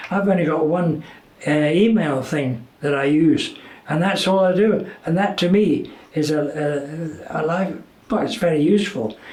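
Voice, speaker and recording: Against noticeable background noise, a man talks at a fairly slow pace in a high pitch. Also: ordinary pitch variation. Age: 80s+. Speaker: retired TV presenter. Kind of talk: interview answer.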